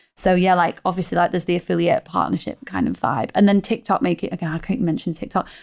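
Speaking very fast with a British accent, a woman shows vocal fry and ordinary pitch variation in a very clean recording with a silent background. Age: 30s. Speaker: ecommerce marketing manager. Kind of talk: casual interview. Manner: fast, filler-heavy.

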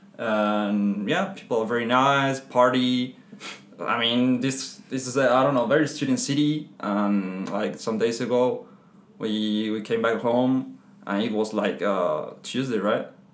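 The speech moves at a fairly slow pace with ordinary pitch variation. It carries a Spanish accent. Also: man, medium pitch for a man. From Spain. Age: 20s. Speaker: aerospace engineer. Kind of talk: casual interview chat.

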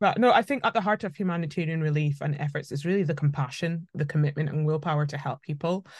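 In a Scottish accent, the speaker talks at a very fast pace, somewhat breathy, with ordinary pitch variation over a quiet background. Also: woman, very deep, low pitch for a woman. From Scotland. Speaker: politician. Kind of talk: interview.

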